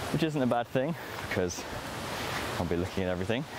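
Loud background noise accompanies a man whose voice is dry, with no echo. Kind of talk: casual vlog chat. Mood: relaxed, reflective. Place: forest. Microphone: camera far.

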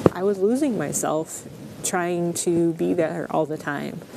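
A woman with a fairly low pitch speaks in fairly even intonation. The sound is dry with no echo, though noticeable background noise comes through. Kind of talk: interview answer. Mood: reflective, earnest. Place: forest.

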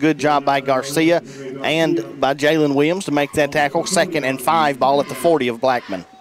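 A man speaks at a moderate pace with an American accent, his pitch fairly high and its variation ordinary. Noticeable background noise runs under his voice. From US South. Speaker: radio color commentator. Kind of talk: live commentary. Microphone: headset.

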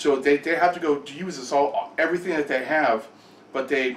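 An angry tone comes through in an American accent, with audible room echo and light background noise. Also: man. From California. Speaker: gaming channel host. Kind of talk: angry rant about the power company. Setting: home, filming in the kitchen. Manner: angry, fast, ranting. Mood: angry, frustrated, tired. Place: kitchen. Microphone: webcam.

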